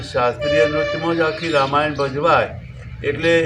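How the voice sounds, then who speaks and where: A man with a fairly high pitch is speaking. There is audible room echo and noticeable background noise. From north Gujarat, Visnagar area (Mehsana). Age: old. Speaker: folk artist and teacher. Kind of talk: interview monologue.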